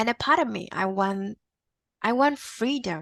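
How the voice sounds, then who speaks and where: In a Vietnamese accent, a woman with a medium-pitched voice and lively intonation speaks at a fairly slow pace on a very clean recording with a silent background. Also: dry, close sound with no echo. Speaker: podcast guest. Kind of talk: interview conversation. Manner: halting, repetitive starts.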